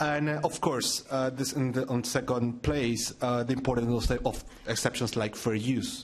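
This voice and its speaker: Amid noticeable background noise and audible room echo, a man speaks in a monotone, flat intonation at very even loudness with hardly any pauses. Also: medium pitch for a man, moderate pace. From Chile. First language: Spanish. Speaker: digital rights NGO director. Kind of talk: conference presentation. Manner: halting, many fillers.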